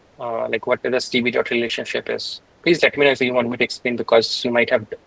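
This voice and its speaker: A man at a fairly quick pace with noticeable background noise. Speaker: programming instructor. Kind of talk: live coding tutorial. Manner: halting, many fillers; fast.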